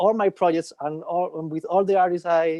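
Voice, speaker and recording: Here a man with a Spanish accent speaks at a moderate pace in a high pitch. His tone is dark and mellow, and his intonation is monotone and flat. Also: dry, close sound with no echo. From southern Spain. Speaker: session musician, bassist. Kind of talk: casual chat. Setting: video call. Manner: halting.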